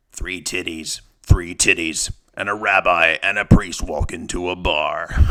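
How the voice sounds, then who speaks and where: Fairly slow male delivery in a put-on character voice, very deep and low in pitch. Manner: gruff, joking.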